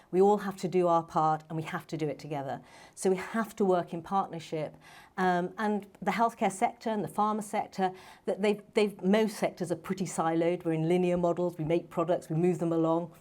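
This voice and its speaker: A woman with a London accent speaks at a fairly quick pace and a fairly low pitch. The recording is very clean, with a silent background. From London, England. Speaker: medical doctor and startup founder. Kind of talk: panel talk. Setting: stage with audience.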